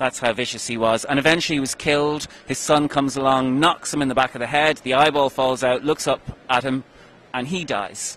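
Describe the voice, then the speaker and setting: Delivered at a fairly quick pace with a Donegal accent, the voice has a dry sound with no echo. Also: man. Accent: Donegal Irish. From Ireland, County Donegal; Ireland. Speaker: author; interviewee. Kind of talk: interview. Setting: convention. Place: hall. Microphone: handheld.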